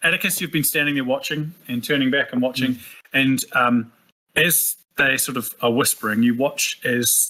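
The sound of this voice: Fairly even intonation in an unforced reading voice, set against a quiet background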